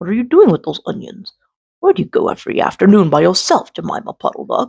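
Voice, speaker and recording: A man's put-on character voice, high-pitched and delivered at a very fast pace. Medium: read story.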